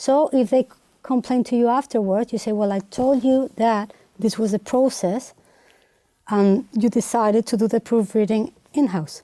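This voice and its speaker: In a Spanish accent, a woman speaks at a moderate pace with a fairly high pitch, a dark, mellow tone, ordinary pitch variation and very even loudness, the sound dry and close with no echo. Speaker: translator. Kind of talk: interview. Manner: halting.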